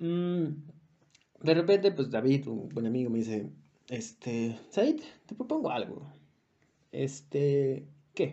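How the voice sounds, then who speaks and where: With a Mexican accent, a man speaks at a very slow pace, leaving long, frequent pauses. His pitch is fairly high and his intonation lively. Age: 20s. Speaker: podcast co-host. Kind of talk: casual monologue.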